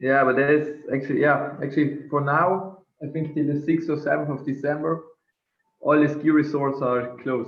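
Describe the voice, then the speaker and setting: With a South Tyrolean accent, a man speaks at a moderate pace in a fairly high voice with flat, monotone intonation. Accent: German-speaking South Tyrolean. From northern Italy (South Tyrol). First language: German. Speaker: drinks entrepreneur. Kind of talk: interview. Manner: halting, many fillers.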